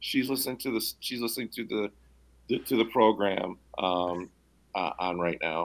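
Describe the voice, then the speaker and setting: An unremarkable speaking voice from a man with an American accent, fairly low-pitched, ordinary pitch variation and a moderate pace, on a very clean recording with a silent background. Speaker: guest discussing climate and electric vehicles. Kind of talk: casual radio interview.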